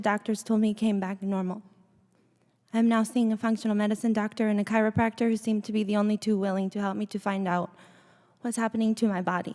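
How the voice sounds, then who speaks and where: A dark, mellow tone in a monotone, flat delivery, on a very clean recording with a silent background. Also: woman. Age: 30s. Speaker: vaccine injury witness. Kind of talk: testimony. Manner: impaired, unnatural speech.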